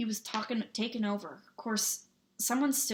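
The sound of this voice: An unforced reading voice, its intonation fairly level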